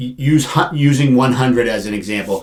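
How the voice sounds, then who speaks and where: Here is a man with an unremarkable speaking voice, medium in pitch. He talks at a moderate pace with lively intonation. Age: 50s. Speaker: financial planner and insurance agent. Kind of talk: casual interview.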